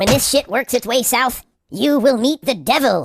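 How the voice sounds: At a moderate pace, a cartoonish character voice speaks at a fairly high pitch.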